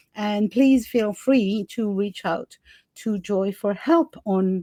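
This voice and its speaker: Recorded with a dry, close sound and no echo, a woman at medium pitch speaks in a dark, mellow tone with lively intonation. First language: not English. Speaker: podcast host. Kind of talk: interview conversation.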